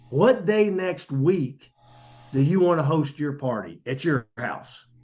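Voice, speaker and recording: In an American accent, a man speaks with lively intonation at a fairly high pitch against a quiet background. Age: 60s. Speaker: network marketing distributor. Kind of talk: business presentation. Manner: animated.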